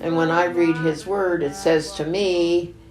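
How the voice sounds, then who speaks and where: A woman with an American accent, fairly low in pitch and very slow in pace, with audible room echo and music in the background. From Oregon, US Pacific Northwest (rural Sherman County). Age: 80s+. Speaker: documentary interviewee, elderly mother and grandmother. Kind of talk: documentary interview. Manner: halting.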